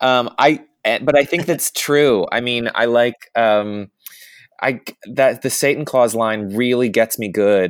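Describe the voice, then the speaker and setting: A man with an American accent and a plain, everyday voice, at medium pitch, fairly slow, with ordinary pitch variation. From US South. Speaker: actor and podcast host. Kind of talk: casual chat.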